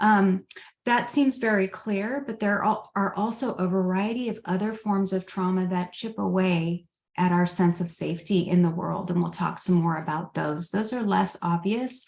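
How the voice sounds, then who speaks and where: A woman's voice, somewhat breathy, moves with ordinary pitch variation. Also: medium pitch for a woman, moderate pace. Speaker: trauma coaching trainer. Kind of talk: lecture. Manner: halting, with many fillers.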